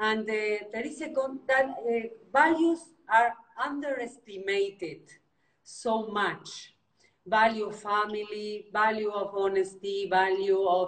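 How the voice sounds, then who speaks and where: A woman's fairly high voice with a non-native accent, ordinary pitch variation and a fairly slow pace. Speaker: interviewer, real estate agent. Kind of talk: interview. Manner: halting, many fillers.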